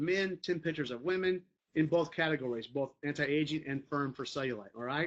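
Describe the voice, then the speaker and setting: A man at a very fast pace, fairly high in pitch, with lively intonation. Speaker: network marketing team leader. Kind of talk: training talk to team. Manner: casual, conversational.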